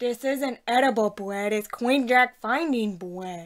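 A cartoonish character voice delivers its lines at a fairly slow pace. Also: female-sounding voice, fairly high pitch for a woman. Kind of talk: comedy puppet skit.

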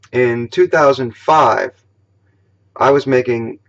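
Quiet surrounds the man as he talks. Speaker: political vlogger. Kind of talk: political commentary vlog. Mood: indignant, argumentative. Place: home room. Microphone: webcam.

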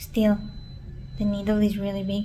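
Light background noise behind a woman. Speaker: vlogger. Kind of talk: casual vlog chat. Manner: weary, low voice of patient in bed. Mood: nervous, a bit scared. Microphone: phone near.

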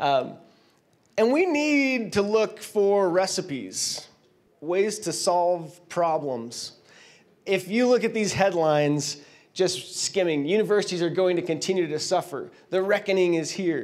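Speaking with an American accent, a man uses a high pitch and lively intonation at a fairly slow pace. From Washington State, US. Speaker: company founder speaking at a conference; conference presenter. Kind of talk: conference keynote. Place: hall. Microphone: handheld.

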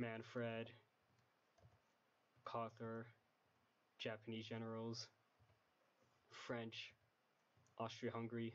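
A man with a medium-pitched voice speaks quietly. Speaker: game modder. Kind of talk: casual game mod preview narration. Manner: quiet, low volume.

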